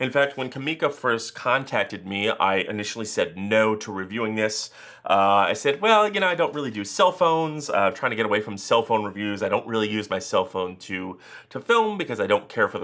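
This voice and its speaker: A man with a plain, everyday voice talks at a fairly quick pace in a medium pitch with lively intonation. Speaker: tech reviewer. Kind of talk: product review.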